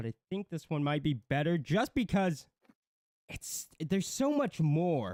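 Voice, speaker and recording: A very clean recording with a silent background and a dry, close sound free of echo. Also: man. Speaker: commentary livestream co-host. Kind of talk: casual livestream commentary. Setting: livestream with chat. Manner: loud, shouting.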